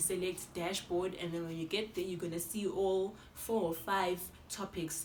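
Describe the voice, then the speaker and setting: A woman talks at a moderate pace and medium pitch in an animated tone. Noticeable background noise and audible room echo surround her. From South Africa. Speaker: YouTuber. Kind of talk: tutorial.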